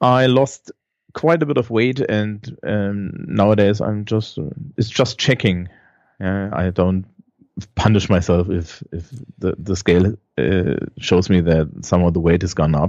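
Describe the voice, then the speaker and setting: With a German accent, a man speaks fairly slowly at a fairly low pitch, his intonation lively. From Germany. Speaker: schoolteacher. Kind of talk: casual interview.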